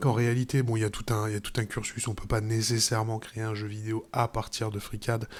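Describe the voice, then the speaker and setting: This man's voice sits at a medium pitch. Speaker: software tutorial youtuber and game developer. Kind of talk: tutorial. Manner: casual, hesitant with many fillers.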